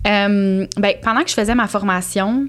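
A woman with a plain, everyday voice at medium pitch, with fairly even intonation and a moderate pace. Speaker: cat behaviour specialist and entrepreneur. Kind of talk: casual interview conversation.

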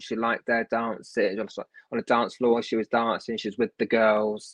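A man of medium pitch with a London accent is heard in a dry, close sound with no echo. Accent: British English, London area. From southern England, near London. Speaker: medium and healer, author. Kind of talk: casual interview, readings.

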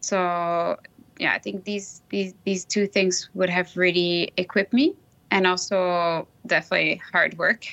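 A woman speaks in a French accent at a medium pitch. Her pace is fairly slow and her intonation monotone and flat. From Switzerland, Lausanne; grew up in Brazil. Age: 40s. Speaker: alumna, professional services employee. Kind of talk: casual interview, conversational. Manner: hesitant with frequent fillers.

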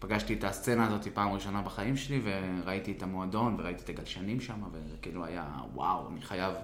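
Fairly low male voice at a moderate pace, ordinary pitch variation, audible room echo and noticeable background noise. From Israel, West Bank settlement. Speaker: surf club business owner. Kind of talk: interview storytelling.

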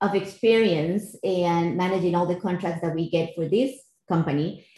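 In a Costa Rican accent, a woman speaks at a moderate pace with a fairly low pitch and fairly even intonation. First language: Spanish. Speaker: finance executive in cybersecurity. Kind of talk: interview.

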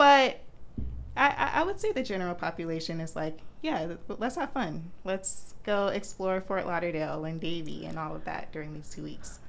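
Speaking with an American accent, a woman keeps a moderate pace. Audible room echo fills the space around her. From Florida, Orlando. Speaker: medical student. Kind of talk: casual chat.

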